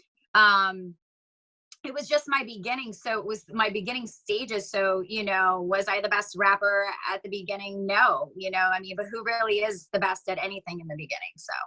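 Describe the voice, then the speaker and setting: Speaking at a moderate pace in a New York accent, a woman with a medium pitch and a bright, sharp tone keeps fairly even intonation while her loudness swings widely. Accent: New York, sounds Long Island-ish. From New York, the Bronx. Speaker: singer and rapper. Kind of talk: interview. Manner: casual, filler-heavy.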